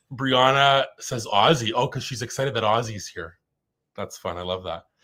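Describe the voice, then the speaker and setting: This is a man with a medium pitch. His intonation is lively. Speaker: live stream host. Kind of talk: casual chat. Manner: fast.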